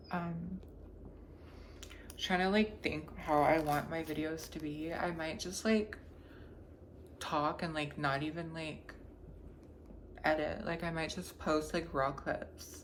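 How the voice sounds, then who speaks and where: With audible room echo around her, a woman talks in a fairly even intonation, leaving long, frequent pauses. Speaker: vlogger. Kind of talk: casual vlog monologue. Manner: casual, rambling with many fillers.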